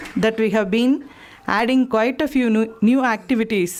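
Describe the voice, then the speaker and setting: There is noticeable noise behind this woman, whose fairly high voice keeps a fairly even intonation. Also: very even loudness. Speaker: event host. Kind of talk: event introduction.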